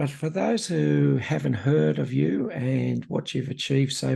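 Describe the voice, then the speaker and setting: This is a man speaking with an Australian accent. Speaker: podcast host. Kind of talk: podcast interview.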